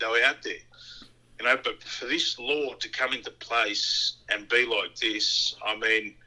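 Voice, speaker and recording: This voice belongs to a man. His speech is in an Australian accent. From Australia, born in Tonga. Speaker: immigration detainee. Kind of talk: interview. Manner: halting, with many fillers.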